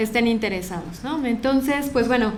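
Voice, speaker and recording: Noticeable background noise and audible room echo surround a woman's fairly high voice. She speaks at a moderate pace with ordinary pitch variation. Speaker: philosophy lecturer, head of program. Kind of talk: lecture to audience.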